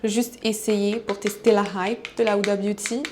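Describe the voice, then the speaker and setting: A woman is talking. Her voice has a fairly high pitch. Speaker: vlogger. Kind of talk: casual vlog talk to camera. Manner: halting, code-switching French and English.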